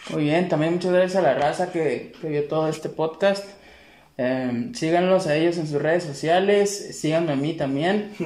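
A man's high-pitched voice at a moderate pace, with ordinary pitch variation, audible room echo and noticeable background noise. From Mexico, Tepic. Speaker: podcast host. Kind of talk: casual chat.

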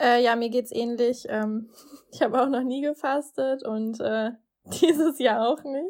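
Fairly slowly, a woman speaks at a high pitch. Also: ordinary pitch variation. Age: 20s. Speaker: student advisor. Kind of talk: casual chat.

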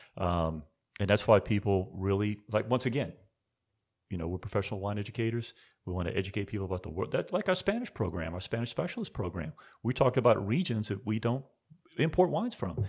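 The speech comes at a very fast pace with ordinary pitch variation, on a very clean recording with a silent background. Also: man, fairly low pitch for a man. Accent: American. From US South, New Orleans. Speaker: wine industry executive. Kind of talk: interview.

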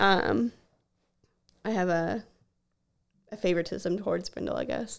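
This woman's medium-pitched voice carries vocal fry, broken up by long, frequent pauses. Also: ordinary pitch variation, moderate pace. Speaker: podcast co-host, animal care worker. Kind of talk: casual chat.

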